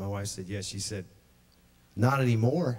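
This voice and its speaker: A man speaks with ordinary pitch variation. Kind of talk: testimony to congregation. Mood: joyful, excited. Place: church. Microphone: studio mic.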